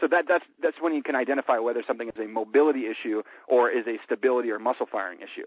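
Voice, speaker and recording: A medium-pitched male voice at a very fast pace with ordinary pitch variation. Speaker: fitness trainer. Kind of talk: podcast interview. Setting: phone call. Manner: animated.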